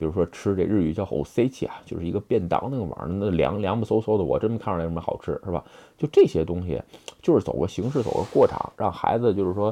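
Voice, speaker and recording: Talking at a very fast pace, a man uses a fairly low pitch with lively intonation. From China. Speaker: video blogger. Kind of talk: casual monologue. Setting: handheld phone recording. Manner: hesitant, many fillers.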